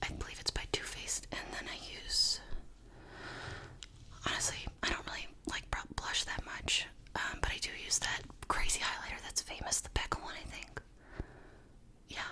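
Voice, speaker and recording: A woman with an American accent whispers at a moderate pace, pausing long and often. Noticeable background noise runs underneath. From New York. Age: 20s. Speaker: YouTuber, digital producer.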